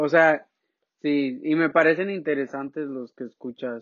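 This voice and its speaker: At a fairly slow pace, a man speaks in an unremarkable speaking voice with fairly even intonation. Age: 20s. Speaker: podcast co-host. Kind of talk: casual chat.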